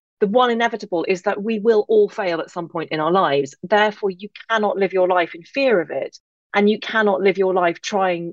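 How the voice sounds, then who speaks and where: A woman at a medium pitch with an English accent, fairly quick pace and ordinary pitch variation. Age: 40s. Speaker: author and podcaster. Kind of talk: interview chat.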